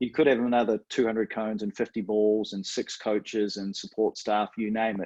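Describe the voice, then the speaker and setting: A fairly low-pitched man with a New Zealand accent, monotone, flat intonation, a fairly quick pace, and hardly any pauses, in a dry, close sound with no echo and a quiet background. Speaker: coach mentor. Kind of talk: webinar interview.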